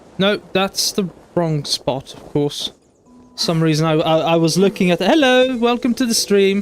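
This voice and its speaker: A man's high-pitched, lively voice with an American accent over music in the background. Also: moderate pace. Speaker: streamer. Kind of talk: casual gameplay stream chat. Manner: halting, many fillers; careful enunciation, thinking through words.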